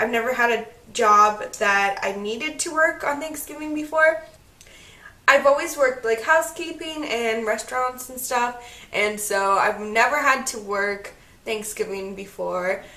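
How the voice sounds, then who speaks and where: A woman with a high voice and lively intonation talks at a fairly slow pace, with noticeable background noise and audible room echo. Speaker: beauty vlogger. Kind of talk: makeup tutorial. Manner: casual, chatty.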